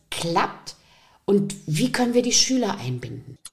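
A woman's voice with vocal fry and very wide pitch swings. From Saxony, eastern Germany (Riesa). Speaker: podcast host, teacher. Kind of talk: interview.

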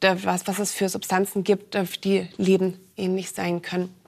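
A woman speaks at a medium pitch. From Berlin, Germany. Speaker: analog astronaut, scientist. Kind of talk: talk show interview.

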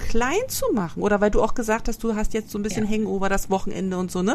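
At a fairly quick pace, a woman with an unremarkable speaking voice talks in a fairly high pitch with ordinary pitch variation. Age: 40s. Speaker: podcast host. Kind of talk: casual chat.

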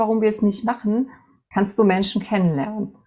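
In a very clean recording with a silent background, a woman talks at a moderate pace in a somewhat breathy voice with a fairly high pitch. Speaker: entrepreneur and mentor. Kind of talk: interview. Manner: hesitant fillers.

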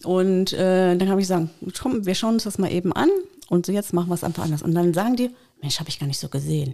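A woman talks very fast at a medium pitch with a dark, mellow tone. Her pitch varies in an ordinary way. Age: 50s. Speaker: dog trainer. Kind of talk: casual chat.

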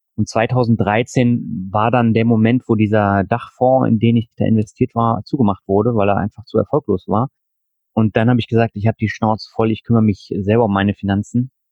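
Fairly quick, monotone delivery from a man of medium pitch, with flat intonation and very even loudness. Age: 40s. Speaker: finance podcaster and blogger. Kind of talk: interview.

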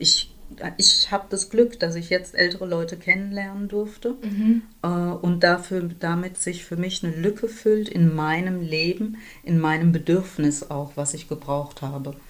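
A woman with an unremarkable speaking voice talks fairly slowly, her pitch fairly low and its variation ordinary. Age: 60s. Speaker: community organizer and activist. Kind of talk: interview conversation.

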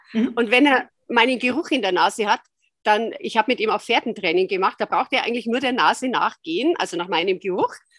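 Here is a woman with an ordinary speaking voice, fairly high in pitch and lively in intonation. She talks at a fairly quick pace, and the sound is dry and close with no echo. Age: 60s. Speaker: osteopath and dog owner. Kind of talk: interview.

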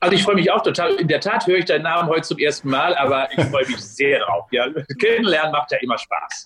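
Speaking very fast at a high pitch, a man uses an energetic tone and lively intonation while keeping his loudness very even. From Westphalia, Germany (Unna). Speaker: sports science professor. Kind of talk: interview. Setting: video call.

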